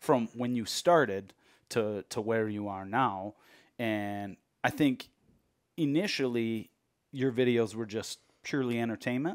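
A man with an American accent at a fairly slow pace, with long, frequent pauses, ordinary pitch variation and a quiet background. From Michigan. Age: middle-aged. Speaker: podcast host. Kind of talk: casual interview chat. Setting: studio. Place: home room. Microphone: headset.

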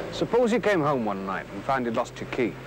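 A man at a moderate pace, with very wide pitch swings, a dry sound with no echo and noticeable background noise. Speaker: crime prevention officer. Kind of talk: vintage public information film narration. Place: street.

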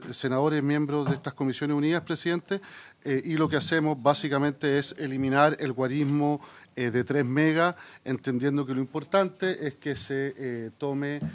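With fairly even intonation, a man talks at a moderate pace. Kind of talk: formal committee presentation. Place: meeting room. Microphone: podium.

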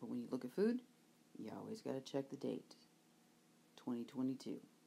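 Here a woman is speaking. Her pace is moderate. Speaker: reseller shopping. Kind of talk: casual vlog chat. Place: market. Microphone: phone near.

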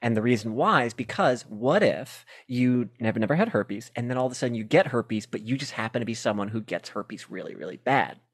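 With quiet surroundings, a male voice goes at a fairly brisk rate. Its pitch varies in an ordinary way. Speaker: comedian. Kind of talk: casual chat. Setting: video call. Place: home room. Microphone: handheld.

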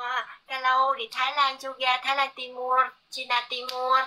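At a very slow pace, a woman with a high pitch speaks in a raised, projected voice. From Korea. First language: Korean (speaking Indonesian). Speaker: livestreamer. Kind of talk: casual chat. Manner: halting. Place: home room. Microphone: phone near.

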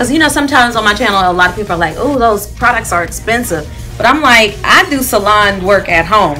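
A woman at a fairly quick pace, with faint music in the background. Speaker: salon client vlogger. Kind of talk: casual conversation with stylist. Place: shop.

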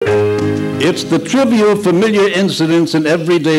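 At a moderate pace, a man talks with a pitch that sits fairly high. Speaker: radio announcer. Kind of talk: old-time radio show opening announcement. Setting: live event recreation. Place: hall. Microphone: podium.

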